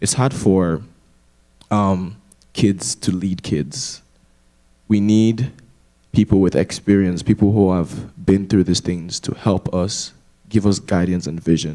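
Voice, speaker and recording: A man speaks very slowly with a very deep, low pitch and a dark, mellow tone. His pitch varies in an ordinary way, and he takes long, frequent pauses. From Africa. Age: 20s. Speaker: university student. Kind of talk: panel discussion.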